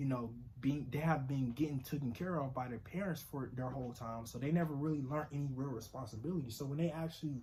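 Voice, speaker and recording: A man's somewhat breathy, fairly high-pitched voice at a very fast pace, with audible room echo. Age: 20s. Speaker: vlogger. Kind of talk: casual vlog monologue. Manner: casual, halting with fillers.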